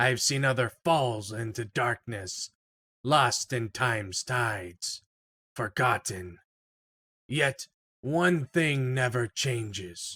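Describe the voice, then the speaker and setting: A raspy, put-on character voice moves at a very slow pace with long, frequent pauses and ordinary pitch variation, in a very clean, dry, close recording with a silent background and no echo. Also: man, medium pitch for a man. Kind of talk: solemn fantasy comic reading. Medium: read story. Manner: grave, measured.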